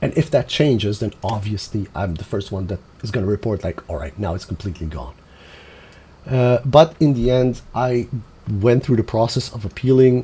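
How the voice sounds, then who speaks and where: A man with a medium pitch and a dark, mellow, somewhat breathy tone talks at a moderate pace, his intonation lively and his loudness swinging widely. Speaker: gaming streamer. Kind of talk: live stream commentary.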